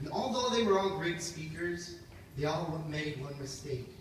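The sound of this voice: Lively intonation from a man at a fairly slow pace, his tone fairly bright against audible room echo.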